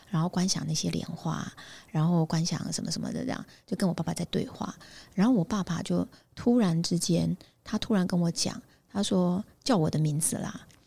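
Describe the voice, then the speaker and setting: This woman's fairly low voice has a dark, mellow tone and vocal fry, with ordinary pitch variation on a very clean recording with a silent background. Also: moderate pace. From Taiwan, Pingtung. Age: 50s. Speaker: headhunting firm founder. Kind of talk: interview.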